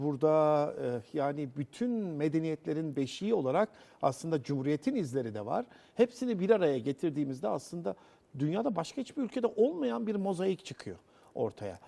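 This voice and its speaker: Using very wide pitch swings, a man with a fairly high pitch and a dark, mellow tone talks at a moderate pace. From Central Anatolia, Cappadocia. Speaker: TV presenter. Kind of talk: TV interview. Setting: on location in a rock-cut church.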